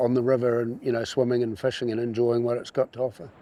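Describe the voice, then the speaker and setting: Noticeable background noise sits behind a man speaking with a New Zealand accent. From New Zealand, Canterbury. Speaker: rafting guide. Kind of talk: interview. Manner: halting.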